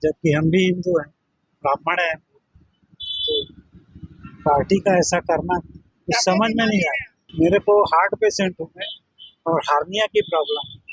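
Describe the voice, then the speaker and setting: With big swings in loudness and long, frequent pauses, a man speaks at a high pitch with ordinary pitch variation in a dry, close sound with no echo. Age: 70s. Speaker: local resident interviewee. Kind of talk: news interview.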